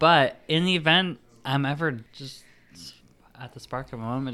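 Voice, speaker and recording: Bright and sharp in tone, a man's voice shows ordinary pitch variation in a very clean recording with a silent background. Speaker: podcast host. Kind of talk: casual chat with true crime storytelling. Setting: home recording.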